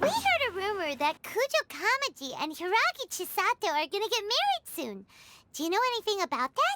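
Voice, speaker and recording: A female-sounding, extremely high-pitched voice performs a put-on character. The delivery moves at a fairly quick pace. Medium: video game. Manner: refers to self in third person.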